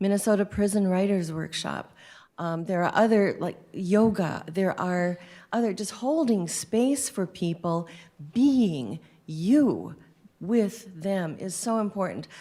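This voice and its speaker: At a very slow pace, a woman speaks in a medium pitch with a dark, mellow tone and ordinary pitch variation, in a very clean recording with a silent background. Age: 60s. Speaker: prison chaplain. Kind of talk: panel discussion.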